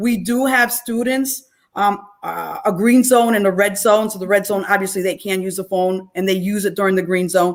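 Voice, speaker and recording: At a moderate pace with hardly any pauses, a woman speaks in an ordinary speaking voice at medium pitch with fairly even intonation. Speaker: school principal. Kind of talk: town hall presentation.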